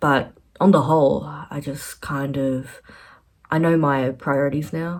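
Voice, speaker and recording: Over a silent background in a very clean recording, a woman speaks with an American accent at a very deep, low pitch. Her voice has vocal fry and ordinary pitch variation. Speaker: artist and PhD applicant vlogger. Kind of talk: casual vlog life update. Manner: halting, many fillers.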